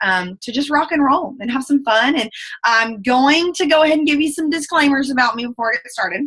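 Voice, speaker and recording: Bright and sharp in tone, a woman with a strong Southern US accent sounds animated, her intonation lively. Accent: thick Southern US. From US South. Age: 20s. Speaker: direct sales ambassador. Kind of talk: motivational talk. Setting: video call. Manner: fast.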